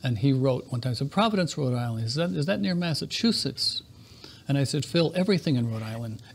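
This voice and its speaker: Very fast and somewhat breathy, a man speaks at medium pitch with very wide pitch swings. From New England. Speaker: interview show host. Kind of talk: casual interview chat.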